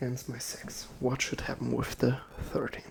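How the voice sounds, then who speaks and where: Soft-spoken and whispering, the speaker goes at a fairly slow pace over noticeable background noise. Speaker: ASMR creator role-playing a casino dealer. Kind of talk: ASMR role-play. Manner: soft-spoken, whispered.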